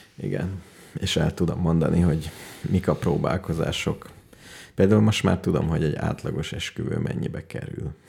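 Noticeable background noise sits behind a man whose very deep, low voice moves at a moderate pace. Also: fairly even intonation. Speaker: radio show co-host. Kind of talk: casual chat.

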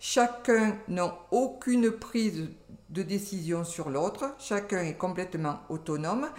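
With lively intonation and a medium pitch, a woman speaks at a fairly slow pace, leaving long, frequent pauses. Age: 60s. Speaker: retired civil servant. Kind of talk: casual interview.

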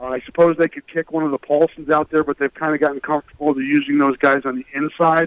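A man with a fairly high pitch rattles off words at a very fast pace, barely pausing. His intonation stays flat and monotone, and the sound is dry and close with no echo. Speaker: sports reporter guest. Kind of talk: interview about college football.

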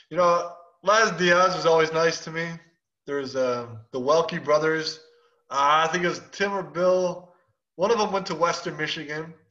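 In a room with audible echo, a man with a high voice and fairly even intonation speaks at a moderate pace, leaving long, frequent pauses. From Chicago. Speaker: former pro baseball player turned coach. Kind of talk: casual interview.

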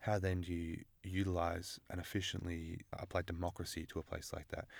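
A man speaks with an Australian accent in a very deep, low voice and monotone, flat intonation. The recording is very clean, with a silent background. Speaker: international relations student. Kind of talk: interview.

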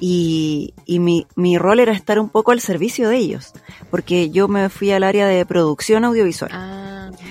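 Music plays in the background as a woman speaks at medium pitch. She goes at a fairly slow pace with ordinary pitch variation. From Chile, Santiago (Maipú). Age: 30s. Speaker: voice actress. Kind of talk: casual chat.

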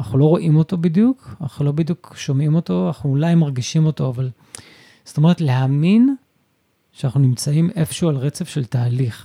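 Somewhat breathy and dark, mellow in tone, a man talks at a fairly quick pace with a fairly high pitch and lively intonation. The sound is dry and close, with no echo. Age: 50s. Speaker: stay-at-home father and photographer. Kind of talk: casual interview conversation. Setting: wife's clinic.

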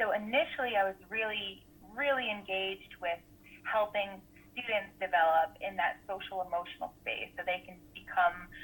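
This woman talks at a moderate pace with an American accent. She has a normal speaking voice at medium pitch, with ordinary pitch variation. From US Northeast, Rhode Island. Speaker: school counselor and wellness coach. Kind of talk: interview, personal testimony.

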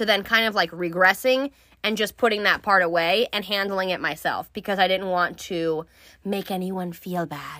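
On a very clean recording with a silent background, the voice has a bright, sharp tone, an animated delivery and a moderate pace. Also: woman. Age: 30s. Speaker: solo podcast host. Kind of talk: casual monologue. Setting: studio. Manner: animated, frequent laughing.

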